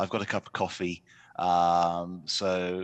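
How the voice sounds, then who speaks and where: Against a quiet background, a man speaks with a British accent. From United Kingdom. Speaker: economics journalist. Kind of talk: panel discussion.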